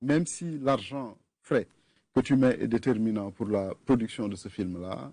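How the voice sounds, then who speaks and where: A man with a Senegalese accent, a medium pitch and a dark, mellow tone, at a fairly slow pace against a quiet background. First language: Wolof (speaking French). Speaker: film fund official. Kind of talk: TV interview.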